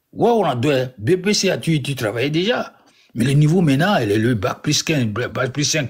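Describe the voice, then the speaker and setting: A somewhat breathy man's voice, fairly high in pitch, at a moderate pace with very wide pitch swings. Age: 70s. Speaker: caller on a live stream. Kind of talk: casual live-stream talk. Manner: halting, repetitive.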